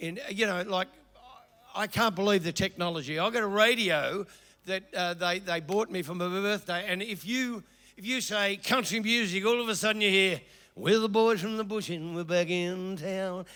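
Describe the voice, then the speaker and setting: A raised, projected voice in an Australian accent, bright and sharp in tone, at a moderate pace with ordinary pitch variation. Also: man, high pitch for a man. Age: 70s. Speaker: comedian. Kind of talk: stand-up. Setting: stage with audience. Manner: halting.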